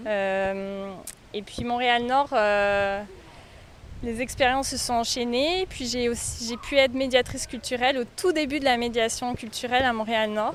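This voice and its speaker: High-pitched female speech delivered at a fairly slow pace. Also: ordinary pitch variation. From France. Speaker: art teacher and cultural mediator. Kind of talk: podcast interview. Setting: outdoors in a park. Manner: hesitant, many fillers.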